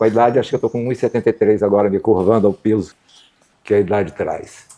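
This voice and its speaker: Very fast speech from a man of medium pitch with a dark, mellow tone. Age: 70s. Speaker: museum director and communication researcher. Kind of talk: interview.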